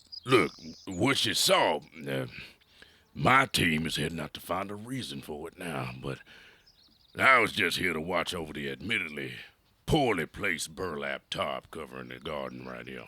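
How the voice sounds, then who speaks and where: In a put-on character voice, a man growls out very deep, raspy lines at a moderate pace, his pitch swinging very widely between long, frequent pauses. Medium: audio drama. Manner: halting, filler-heavy folksy speech.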